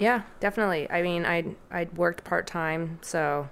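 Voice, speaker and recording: A woman's very deep, low voice with vocal fry, at a moderate pace, on a very clean recording with a silent background. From Hong Kong. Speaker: stroke survivor's sister and caregiver. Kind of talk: interview.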